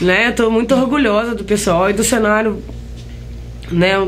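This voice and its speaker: Pitched in the medium range, a woman speaks with ordinary pitch variation. There is audible room echo and noticeable background noise. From Brazil, Caratinga, Minas Gerais. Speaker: singer and guitarist. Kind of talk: interview.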